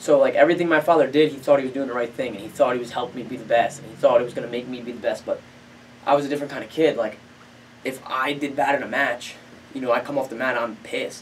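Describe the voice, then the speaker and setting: Talking at a very fast pace, a man with an American accent uses a medium pitch. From New Jersey. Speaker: professional MMA fighter. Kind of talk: casual interview chat. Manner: animated storytelling.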